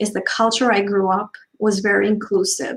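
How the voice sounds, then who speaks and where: Somewhat breathy, a woman speaks at a fairly high pitch. Her intonation stays fairly even. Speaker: diversity trainer. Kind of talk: panel discussion.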